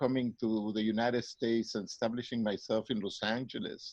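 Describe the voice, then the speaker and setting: A man with a Mexican accent speaks at a fairly quick pace in a monotone, flat intonation. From Mexico City, Mexico. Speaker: psychologist and professor. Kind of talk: interview.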